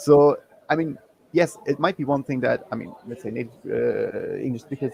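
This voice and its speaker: A man with a German accent speaks at a fairly quick pace against noticeable background noise. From Germany. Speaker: guest, digital nomad. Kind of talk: live panel chat.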